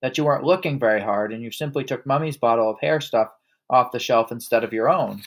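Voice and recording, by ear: Natural-voiced reading aloud with ordinary pitch movement and a quiet background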